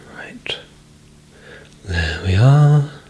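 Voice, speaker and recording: Someone soft-spoken is whispering. Noticeable background noise runs underneath. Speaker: ASMR creator playing a men's stylist. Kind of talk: ASMR role-play, soft-spoken personal stylist talking to the listener. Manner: soft-spoken, whispering, relaxing.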